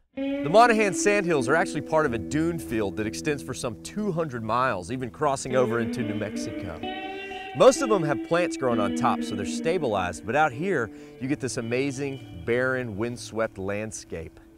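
A man at a moderate pace, clear music behind him, the sound dry with no echo. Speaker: travel show host. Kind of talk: travel show presentation to camera. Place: open country. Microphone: lapel.

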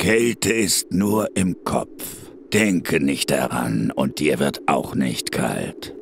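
The speech moves at a very slow pace. Background noise is clearly audible. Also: man. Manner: terse, menacing.

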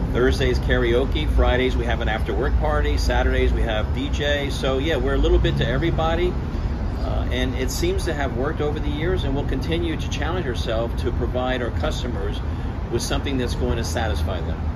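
A man talks at a fairly quick pace while loud background noise plays behind him. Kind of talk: interview answer. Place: bar. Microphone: phone near.

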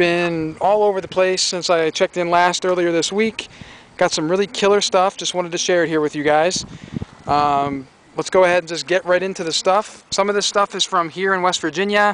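The speech moves at a fairly quick pace with fairly even intonation. The sound is dry, with no echo. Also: man, high pitch for a man. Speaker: reseller. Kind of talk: casual vlog chat. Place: street. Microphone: phone near.

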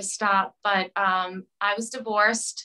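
A woman's bright, sharp tone comes through against a quiet background. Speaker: remote interview guest. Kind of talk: interview answer. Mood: earnest, personal storytelling. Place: home room. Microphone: video call.

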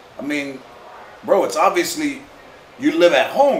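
A moderate pace amid audible room echo and light background noise. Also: man. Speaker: talk show host answering viewer. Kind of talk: casual comedic advice to camera. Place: home room.

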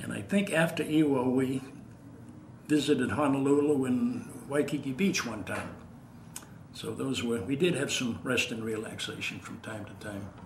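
A man's medium-pitched voice in an American accent with ordinary pitch variation and big swings in loudness, amid audible room echo and noticeable background noise. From Massachusetts (Waltham). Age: 80s+. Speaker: war veteran. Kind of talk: elder veteran's oral-history interview, recalling 1940s wartime combat. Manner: measured, unhurried recollection with frequent 'uh' hesitations; repeats words when searching, halting at emotional points.

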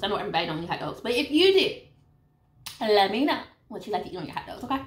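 A woman speaks very fast in a high pitch. Room echo is audible. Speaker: eating vlogger. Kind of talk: casual vlog chat. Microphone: phone near.

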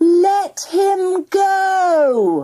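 This loud, put-on character voice has an extremely high pitch. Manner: commanding, crying out.

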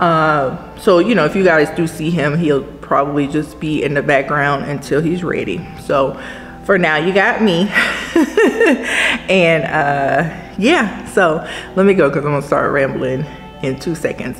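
Over faint music in the background, a woman with a very deep, low pitch speaks at a moderate pace with long, frequent pauses. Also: ordinary pitch variation. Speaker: vlogger. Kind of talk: casual vlog chat. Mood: reflective, gentle. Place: shop. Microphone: camera far.

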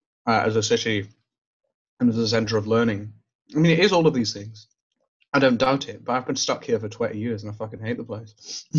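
Pausing long and often, a man with a somewhat breathy voice at medium pitch speaks with ordinary pitch variation and big swings in loudness. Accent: Glaswegian. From Glasgow, south side. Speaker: poet and student. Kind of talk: casual chat.

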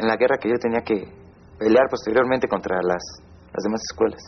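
A man talks at a very fast pace. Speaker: former student gang member. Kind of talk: personal testimony.

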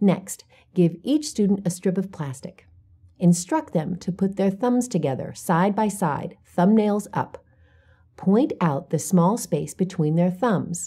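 Somewhat breathy, a woman speaks at a fairly slow pace in a dark, mellow tone. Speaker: teacher-guide presenter. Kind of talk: instructional narration. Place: studio. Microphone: lapel.

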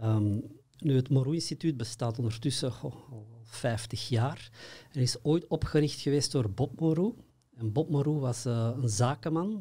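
A man's dark, mellow, somewhat breathy voice at medium pitch, fairly slow, with ordinary pitch variation over a quiet background. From Belgium, Antwerp; Belgium. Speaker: consciousness workshop trainer. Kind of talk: interview. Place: studio. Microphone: studio mic.

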